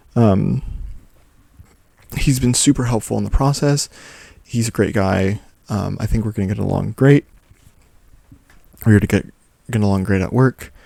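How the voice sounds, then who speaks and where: The delivery is soft-spoken, with a dark, mellow tone and ordinary pitch variation. The pace is moderate, with long, frequent pauses. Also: man, fairly low pitch for a man. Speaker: journaling vlogger. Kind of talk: casual talk to camera. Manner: soft-spoken, easy going.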